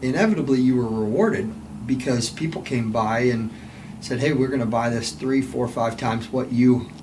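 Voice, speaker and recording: Background noise can clearly be heard while this man talks, his pitch moving in an ordinary way. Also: medium pitch for a man, moderate pace. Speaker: podcast host. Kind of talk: interview question.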